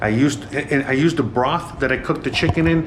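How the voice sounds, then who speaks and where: There is noticeable background noise and audible room echo. A man with an American accent speaks at a moderate pace in a fairly high voice, with ordinary pitch variation. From United States. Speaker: home cooking vlogger. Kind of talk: casual kitchen tour vlog. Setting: home kitchen. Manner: casual, filler-heavy and halting.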